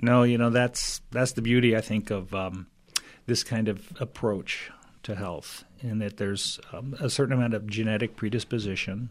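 In a very clean recording with a silent background, a man with a normal speaking voice talks at a moderate pace and medium pitch with fairly even intonation. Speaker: chiropractor and functional medicine practitioner. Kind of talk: radio interview. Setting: studio.

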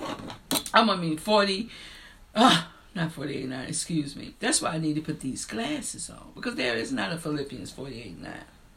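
Very wide pitch swings at a moderate pace, in an American accent. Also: woman. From rural US. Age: 50s.

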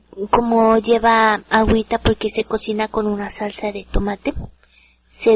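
At a fairly slow pace, the speaker uses monotone, flat intonation in a Mexican accent, with a dry, close sound with no echo. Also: woman. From Mexico. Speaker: home cook. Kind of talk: casual chat.

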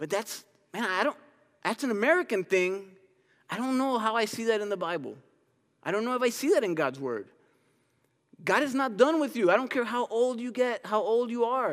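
On a very clean recording with a silent background, a man with an extremely high pitch talks at a fairly quick pace in an animated tone, with lively intonation and long, frequent pauses. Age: 30s. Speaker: pastor. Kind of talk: sermon. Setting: church.

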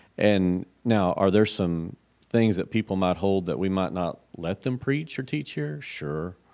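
A man with a very deep, low pitch speaks at a fairly slow pace with lively intonation over a quiet background. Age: 50s. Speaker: pastor. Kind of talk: casual theological discussion.

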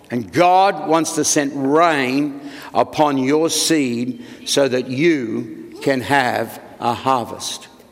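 A man talks with ordinary pitch variation. Noticeable background noise is present. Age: 70s. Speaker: senior pastor. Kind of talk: sermon.

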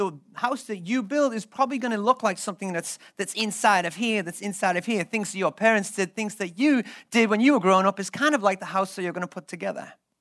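In a very clean recording with a silent background, a man talks fast with few pauses, his high-pitched voice fairly bright in tone and ordinary in pitch variation.

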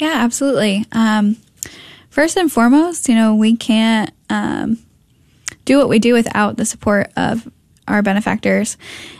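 An American-accented woman speaks at a moderate pace with a fairly high pitch, ordinary pitch variation and a somewhat breathy quality. Her speech has long, frequent pauses. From Connecticut. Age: 20s. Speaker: pregnancy center development director. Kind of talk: radio interview.

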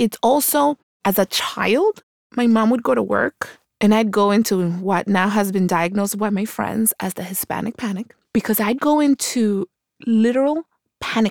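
With an American accent, a woman uses a normal speaking voice at a medium pitch with ordinary pitch variation, the sound dry and close with no echo. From Colombia until age nine, then New York (Queens). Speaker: political candidate and lawyer. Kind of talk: interview.

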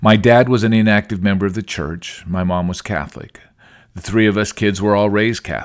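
A man with a normal speaking voice talks at a fairly low pitch and with fairly even intonation. The recording is very clean, with a silent background. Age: 50s. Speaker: religious podcaster. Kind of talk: devotional talk.

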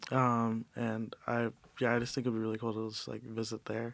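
This man has an ordinary speaking voice and an American accent. He talks at a fairly quick pace and a medium pitch. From US Midwest, Cleveland, Ohio. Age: 20s. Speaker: college student. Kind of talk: casual chat.

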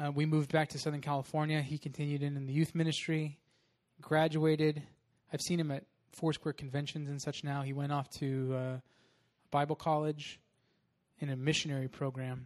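A man speaks at a fairly quick pace in a fairly high pitch, his intonation monotone and flat against a quiet background. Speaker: pastor. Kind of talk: sermon. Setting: church.

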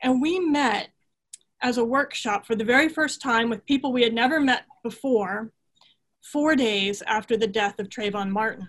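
A woman with an American accent speaks at a moderate pace in a plain, everyday voice, fairly high in pitch with ordinary pitch variation. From US West, Southern California. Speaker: theology professor. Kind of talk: panel discussion.

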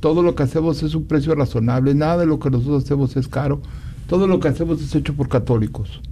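Talking at a very fast pace over noticeable background noise, a man keeps a fairly high pitch with ordinary variation. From Mexico, Guanajuato. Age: old. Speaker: maker of religious images. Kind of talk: radio interview.

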